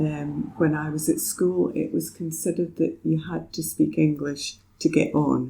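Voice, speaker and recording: A woman with a Scottish accent speaks at a moderate pace with hardly any pauses. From Scotland, Perthshire. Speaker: poet and retired vet. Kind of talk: casual interview chat.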